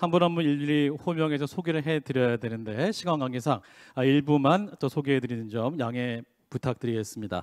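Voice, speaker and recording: The background is quiet as a man talks at a fairly quick pace. His pitch variation is ordinary. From South Korea. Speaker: announcer, event emcee. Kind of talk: ceremony hosting. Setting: conference hall with audience. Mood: polite, formal, welcoming. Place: hall. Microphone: handheld.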